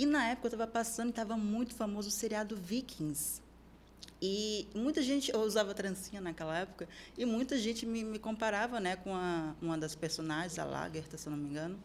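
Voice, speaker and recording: In a plain, everyday voice, a woman of medium pitch talks at a fairly quick pace with lively intonation. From Brazil, Serra Gaúcha (Rio Grande do Sul). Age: 20s. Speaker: fitness model and nutrition student. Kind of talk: podcast interview.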